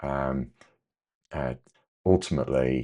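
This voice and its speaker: A quiet man's very deep, low voice with an English accent. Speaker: amateur repairer, repair cafe organiser. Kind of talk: tutorial. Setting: home workshop, late at night. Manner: hesitant, many fillers.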